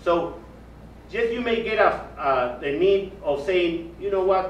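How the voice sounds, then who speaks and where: With audible room echo and noticeable background noise, a man speaks at a fairly slow pace in a high pitch. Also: ordinary pitch variation. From Peru. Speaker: physician. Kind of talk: interview. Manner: halting.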